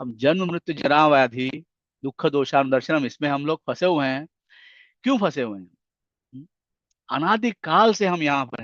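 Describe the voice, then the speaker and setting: Against a quiet background, a man with a fairly high voice and lively intonation speaks with long, frequent pauses and big swings in loudness, the sound dry and close with no echo. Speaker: spiritual lecturer. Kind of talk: religious lecture.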